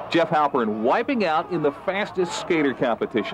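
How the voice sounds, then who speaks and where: A man with a high voice speaks in a playful, upbeat tone, his pitch swinging very widely. Noticeable background noise runs under the clip. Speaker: sports anchor. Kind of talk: TV sports news read. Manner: pleasantly authoritative.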